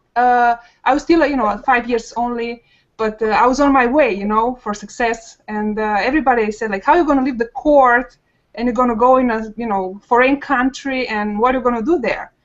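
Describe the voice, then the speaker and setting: In a Romanian accent, a woman with a high pitch talks at a fairly quick pace with ordinary pitch variation. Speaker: online marketer, panel guest. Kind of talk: personal story on a webinar panel. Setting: video call. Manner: hesitant, many fillers.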